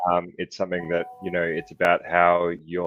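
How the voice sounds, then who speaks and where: A man with an Australian accent speaks at a very deep, low pitch. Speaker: youth mental health advocate. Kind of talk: panel discussion. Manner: fast; hesitant, many fillers.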